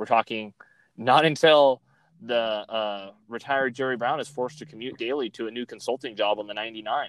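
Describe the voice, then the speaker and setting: This man's medium-pitched voice moves at a moderate pace with fairly even intonation, and the sound is dry and close with no echo. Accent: Californian. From Fresno, California. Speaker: podcast host. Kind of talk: casual political chat. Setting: remote recording, in his car.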